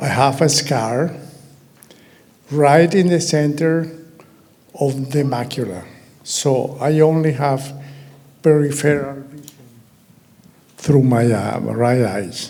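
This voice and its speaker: Amid audible room echo, a man with a Venezuelan accent and a fairly high pitch speaks at a very slow pace with long, frequent pauses. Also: ordinary pitch variation. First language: Spanish. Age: 80s+. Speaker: patient. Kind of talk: testimony. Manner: halting.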